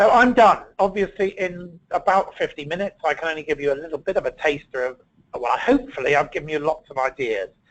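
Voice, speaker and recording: Very fast and high-pitched, a man with a British accent talks with lively intonation. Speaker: ergonomics consultant presenting a webinar. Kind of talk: webinar presentation. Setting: online webinar.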